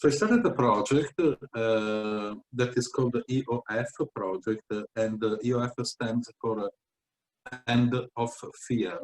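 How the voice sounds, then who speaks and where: Recorded with a dry, close sound and no echo, a man with an Italian accent speaks at medium pitch with fairly even intonation. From Italy (Venice). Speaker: founder of an educational project. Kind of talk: interview. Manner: halting, many fillers.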